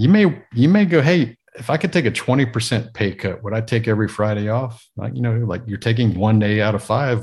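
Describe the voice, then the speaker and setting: Against a quiet background, a somewhat breathy man talks at a fairly quick pace and a medium pitch with ordinary pitch variation and hardly any pauses. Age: 40s. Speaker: entrepreneur and podcaster. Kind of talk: casual interview.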